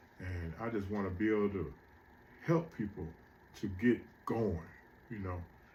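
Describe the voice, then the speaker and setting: A somewhat breathy man's voice at a fairly low pitch. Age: 60s. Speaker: motivational speaker. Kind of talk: motivational monologue. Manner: casual, conversational.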